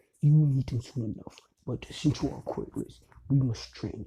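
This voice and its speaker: A man puts on a character voice. It sits at a medium pitch with fairly even intonation. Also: moderate pace, big swings in loudness. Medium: solo performance. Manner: polite, measured.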